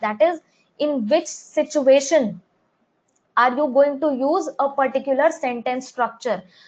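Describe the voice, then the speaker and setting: Speaking at a fairly slow pace, a woman with an Indian accent uses a high pitch and ordinary pitch variation. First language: Hindi. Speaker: English teacher. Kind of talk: live online class.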